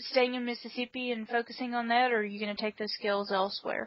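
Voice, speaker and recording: A woman's fairly high voice with a Southern US accent, fairly even intonation and a fairly quick pace. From US South. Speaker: podcast co-host. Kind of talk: casual interview. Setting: front porch.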